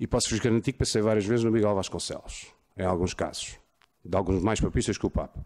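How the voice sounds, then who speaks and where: A man with an unremarkable speaking voice, fairly low in pitch, at a fairly quick pace against a quiet background. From Portugal. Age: 40s. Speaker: lawyer. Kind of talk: conference talk. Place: hall. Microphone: podium.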